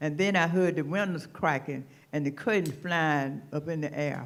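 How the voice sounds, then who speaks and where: With a high voice, a man talks using ordinary pitch variation. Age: 90s. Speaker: tornado survivor. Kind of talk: testimony. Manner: halting.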